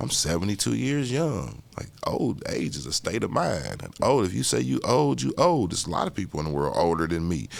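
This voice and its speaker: Very deep and low, this man's voice carries vocal fry and an American accent. He talks at a fairly quick pace with very wide pitch swings. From Indianapolis, Indiana. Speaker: artist. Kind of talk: interview. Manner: casual, conversational.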